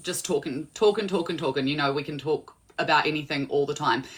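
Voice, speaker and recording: A woman with a strong New Zealand accent speaks in a bright, sharp tone with ordinary pitch variation. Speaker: small business owner, guest. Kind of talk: casual chat.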